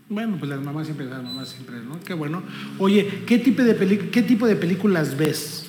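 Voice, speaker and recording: Lively intonation and big swings in loudness come at a moderate pace, with noticeable background noise and audible room echo. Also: man, high pitch for a man. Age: 50s. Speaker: interview host. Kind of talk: casual interview.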